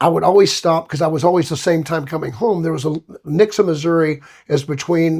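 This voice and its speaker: Speaking at a fairly quick pace, a man has a Southern US accent. His high voice keeps a fairly even intonation. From Alabama, US South. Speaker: singer. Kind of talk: casual chat.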